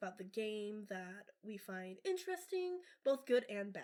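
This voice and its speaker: A soft-spoken woman's voice, fairly high in pitch. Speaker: podcast host. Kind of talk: casual chat.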